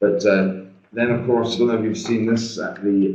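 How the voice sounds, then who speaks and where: A man with a Scottish accent speaks at a fairly low pitch, and audible room echo surrounds his voice. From Scotland. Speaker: trade finance trainer. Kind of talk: webinar presentation. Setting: video call from shared meeting room.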